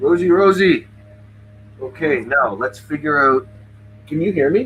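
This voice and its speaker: Music plays in the background. A man speaks with a Canadian accent. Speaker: livestream host interviewing band fans. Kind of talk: casual chat.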